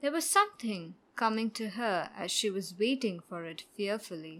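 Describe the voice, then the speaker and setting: A soft-spoken woman's medium-pitched voice in a gentle tone, with lively intonation at a fairly slow pace, in a very clean recording over a silent background. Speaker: audiobook narrator. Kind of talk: audiobook short story reading. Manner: soft, gentle narration.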